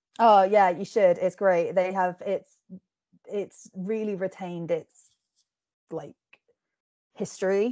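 A woman at a very slow pace, medium in pitch, with a dark, mellow tone, fairly even intonation, long, frequent pauses and a dry, close sound with no echo. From England. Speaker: book reviewer and podcast host. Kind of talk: casual interview and book review. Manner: hesitant with many fillers.

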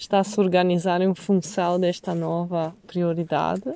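The speech moves at a fairly slow pace in an Italian accent. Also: woman. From Italy, Venice. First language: Italian (speaking Portuguese). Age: 30s. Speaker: nomadic woman sharing life experience. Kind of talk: interview. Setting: outdoors by a lake.

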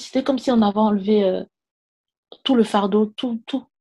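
A woman's dark, mellow tone comes through a very clean recording with a silent background. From Ivory Coast. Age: 20s. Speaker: podcast guest sharing faith testimony. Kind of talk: testimony.

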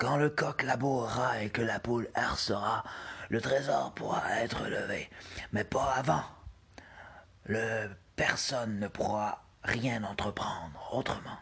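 A raspy, put-on character voice delivers its lines in a solemn tone at a fairly slow pace. Long pauses come often. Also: man, medium pitch for a man. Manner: ominous, solemn warning.

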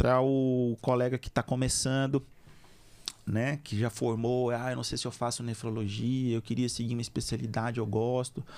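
A man's monotone, flat delivery at a moderate pace. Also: medium pitch for a man. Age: 40s. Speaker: veterinary surgeon and podcast host. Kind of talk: casual interview.

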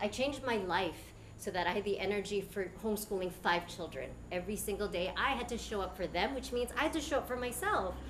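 Over noticeable background noise and audible room echo, a woman at medium pitch talks very fast with lively intonation. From Canada, Filipino immigrant family. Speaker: educator running an alternative school. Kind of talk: talk to a live audience.

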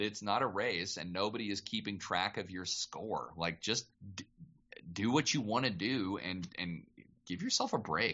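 This man uses an ordinary speaking voice with ordinary pitch variation. He keeps a moderate pace. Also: fairly low pitch for a man. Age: 30s. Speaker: voice actor. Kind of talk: casual chat.

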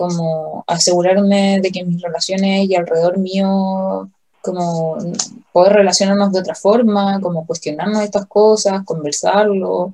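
A woman's dark, mellow voice at medium pitch, in a Chilean accent, with ordinary pitch variation and a moderate pace. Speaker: podcast co-host. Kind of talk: casual chat.

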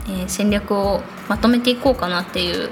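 Over noticeable background noise, a woman mumbles at a moderate pace. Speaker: illustrator podcast host. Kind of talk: solo podcast monologue. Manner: gentle, slightly mumbling.

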